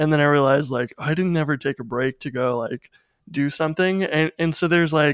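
On a very clean recording with a silent background and a dry, close sound with no echo, a man has a normal speaking voice at a fairly high pitch, moderate pace and ordinary pitch variation. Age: 30s. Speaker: podcast co-host. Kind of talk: casual chat.

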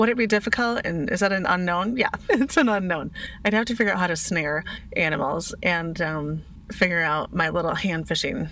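A woman's medium-pitched voice moves fairly quickly, its pitch varying in an ordinary way, while noticeable noise runs in the background. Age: 40s. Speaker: podcast host, craft business owner. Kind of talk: casual solo monologue.

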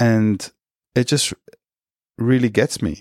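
A man with an Australian accent at a fairly slow pace, in a dry, close sound with no echo and a very clean recording with a silent background. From Australia, Wollongong area (NSW). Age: middle-aged. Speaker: podcast host. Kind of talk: personal monologue. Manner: halting, frequent repetitions.

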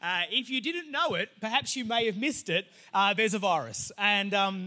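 A man with an Australian accent uses a raised, projected voice that is high-pitched with a bright, sharp tone. He moves at a fairly quick pace with ordinary pitch variation, on a very clean recording with a silent background. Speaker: pastor. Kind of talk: sermon. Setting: church. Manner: casual, many fillers.

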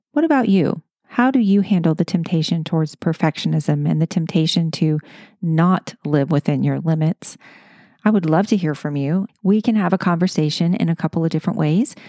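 A woman speaks at a fairly quick pace in a dark, mellow tone with a fairly low pitch, her loudness very even and the sound dry and close with no echo. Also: ordinary pitch variation. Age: 50s. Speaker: podcast host. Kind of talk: interview. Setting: in-person interview.

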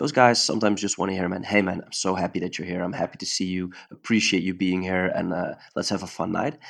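A man with a Dutch accent and a very deep, low pitch talks at a very fast pace with fairly even intonation and hardly any pauses. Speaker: jiu-jitsu coach. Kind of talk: casual interview chat. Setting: video call, late at night. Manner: halting, searching for words.

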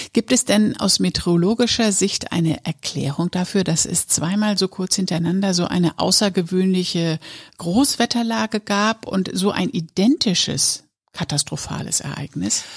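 An unremarkable speaking voice at a moderate pace with ordinary pitch variation in a dry, close sound with no echo. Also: woman, medium pitch for a woman. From northern Lower Saxony, Germany. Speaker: podcast host. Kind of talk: casual chat.

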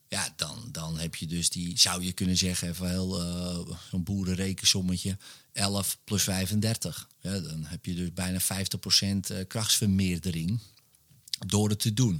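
A man's very deep, low voice at a very slow pace, fairly even in intonation, on a very clean recording with a silent background. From Netherlands, Wormerveer (North Holland). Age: 40s. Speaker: hypnotist and author. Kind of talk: casual interview chat. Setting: his home man cave.

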